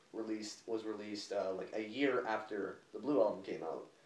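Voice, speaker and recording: With noticeable background noise and audible room echo, the speech moves at a fairly quick pace with ordinary pitch variation. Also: man. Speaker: music reviewer. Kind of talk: casual album review chat. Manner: halting, many fillers.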